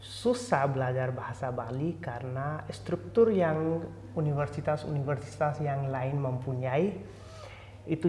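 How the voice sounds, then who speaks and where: Noticeable background noise under fairly slow speech. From India. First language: not Indonesian (Indian language or English) (speaking Indonesian). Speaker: student, software engineer. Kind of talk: self-introduction interview. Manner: halting.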